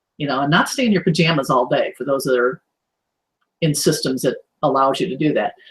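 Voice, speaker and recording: A somewhat breathy voice at a fairly quick pace, with ordinary pitch variation and long, frequent pauses. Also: woman, very deep, low pitch for a woman. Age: 60s. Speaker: online business owner. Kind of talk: casual interview. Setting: video call. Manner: animated.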